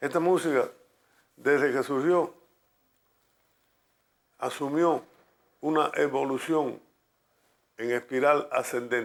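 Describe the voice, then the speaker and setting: At a very slow pace with long, frequent pauses, a man with fairly high pitch and fairly even intonation speaks on a very clean recording with a silent background. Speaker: radio announcer and music promoter in Cuba. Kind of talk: documentary interview answer.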